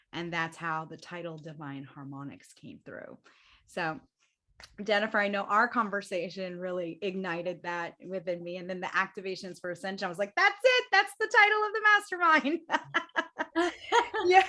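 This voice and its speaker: A woman talks at a moderate pace, her loudness swinging widely from moment to moment. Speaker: spiritual event host. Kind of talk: online group panel discussion.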